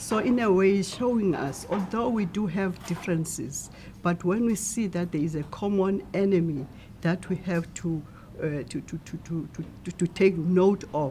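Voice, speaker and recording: Against noticeable background noise, a woman talks at a moderate pace. Her pitch is medium, with ordinary variation. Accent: South African. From South Africa, Eastern Cape (Stutterheim). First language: Xhosa. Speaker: translator. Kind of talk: interview.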